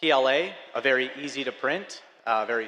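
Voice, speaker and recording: Noticeable background noise behind a medium-pitched man with an Upper Midwest accent. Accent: Upper Midwest (Fargo). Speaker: filament company representative. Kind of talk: conference presentation.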